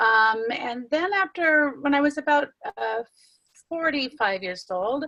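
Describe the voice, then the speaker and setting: Bright and sharp in tone, a woman speaks at a fairly slow pace. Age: 60s. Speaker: weight loss client sharing success story. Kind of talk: interview. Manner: halting.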